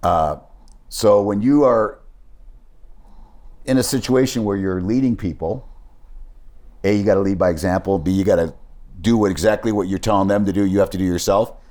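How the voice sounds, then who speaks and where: A man's fairly low, dark, mellow voice at a fairly quick pace, with ordinary pitch variation and long, frequent pauses. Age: 60s. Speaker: sports business executive. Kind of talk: interview storytelling. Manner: conversational, with false starts.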